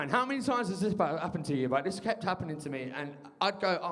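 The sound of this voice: Against noticeable background noise, a man with a high pitch talks very fast with lively intonation.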